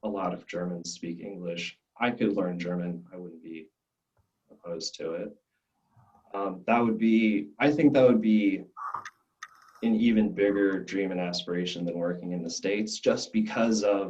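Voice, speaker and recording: With big swings in loudness and long, frequent pauses, a man talks in a fairly low voice. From Arizona, US (Scottsdale), Belgian family. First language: French. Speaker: glassblowing student. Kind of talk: interview. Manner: halting, many restarts.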